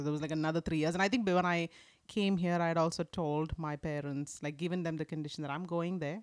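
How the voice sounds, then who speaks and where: A woman's fairly low voice at a very fast pace, with ordinary pitch variation, in a very clean recording over a silent background. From India (Kerala, military family). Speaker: church member, former dentist. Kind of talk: casual interview. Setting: studio.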